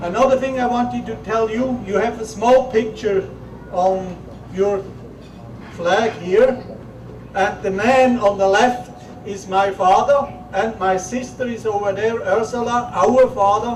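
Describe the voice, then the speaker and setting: Intonation stays fairly even as a man talks at a high pitch. Audible room echo and noticeable background noise accompany his voice. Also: fairly slow pace. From Switzerland. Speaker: visiting family descendant. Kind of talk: short public speech.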